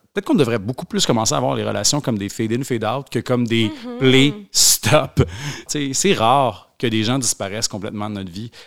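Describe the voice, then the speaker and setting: A medium-pitched man talks at a fairly quick pace with lively intonation and vocal fry, with big swings in loudness. The recording is very clean, with a silent background. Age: 30s. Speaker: author. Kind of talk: casual chat.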